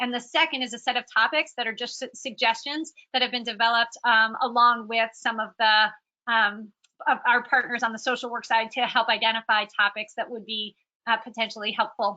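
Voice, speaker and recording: Fairly quick, monotone, flat delivery with a bright, sharp tone. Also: woman, fairly high pitch for a woman. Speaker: volunteer trainer. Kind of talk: training presentation. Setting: recorded conference call. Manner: fast; many fillers (um, uh).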